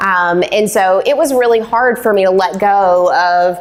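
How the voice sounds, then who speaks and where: Over noticeable background noise, a woman of medium pitch talks with fairly even intonation. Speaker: business owner and agency CEO. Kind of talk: interview talk at a live event. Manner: loud; casual, many fillers.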